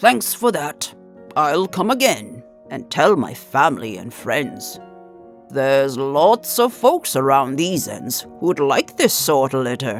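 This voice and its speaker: A put-on character voice at a low-to-middle pitch moves at a fairly slow pace with clear music in the background. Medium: read story.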